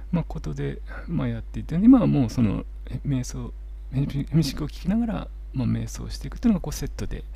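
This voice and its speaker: Over noticeable background noise and audible room echo, a man talks at a very fast pace with big swings in loudness. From Japan, Miyagi. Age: 40s. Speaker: holistic therapist. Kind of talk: interview. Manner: soothing, calm.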